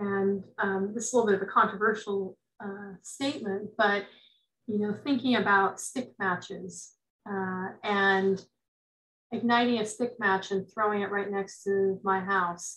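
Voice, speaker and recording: In fairly slow, monotone, flat speech, a woman talks over a quiet background. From US West Coast, rural Northern California. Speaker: forestry extension advisor. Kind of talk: lecture. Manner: halting. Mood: thoughtful, calm. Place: home room. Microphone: webcam.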